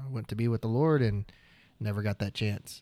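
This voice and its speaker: This is a man speaking. His pitch is fairly low. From Oklahoma. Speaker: videographer. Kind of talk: casual chat.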